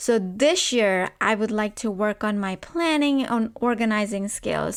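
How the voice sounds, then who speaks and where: In a very clean recording with a silent background, a woman with a non-native accent speaks at a fairly slow pace in an animated tone, with a fairly high pitch and ordinary pitch variation. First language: not English. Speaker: podcast host. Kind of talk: podcast monologue.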